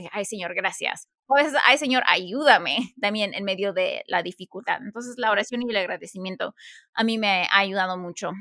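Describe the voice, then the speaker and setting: A woman's bright, sharp tone at a medium pitch, with ordinary pitch variation and a fairly quick pace, on a very clean recording with a silent background. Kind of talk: casual chat.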